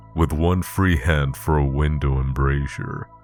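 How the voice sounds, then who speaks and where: Music plays in the background as a man with a very deep, low voice talks at a fairly slow pace. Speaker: audiobook narrator. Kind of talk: horror story narration.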